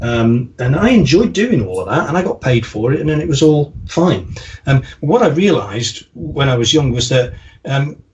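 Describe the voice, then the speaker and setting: With an American accent, a man speaks at a moderate pace in a fairly high pitch, his voice making very wide pitch swings. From English Midlands, Staffordshire (the Potteries). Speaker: marketing consultant. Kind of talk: podcast interview. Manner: hesitant, many fillers.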